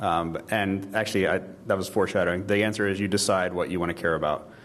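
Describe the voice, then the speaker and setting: The man talks at a very fast pace in a fairly low pitch and monotone, flat intonation, with audible room echo around him. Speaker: conference speaker. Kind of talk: audience Q&A; conference talk. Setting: stage with audience.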